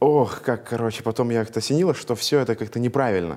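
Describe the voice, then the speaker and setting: A man speaks very fast with a medium pitch and ordinary pitch variation. His tone is dark and mellow. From Russia, Veliky Novgorod. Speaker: entrepreneur. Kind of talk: interview.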